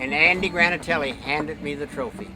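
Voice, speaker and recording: Over music in the background, a man with a fairly high pitch talks at a moderate pace. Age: 80s+. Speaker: motorcycle land speed racer. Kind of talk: interview answer. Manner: rambling, casual.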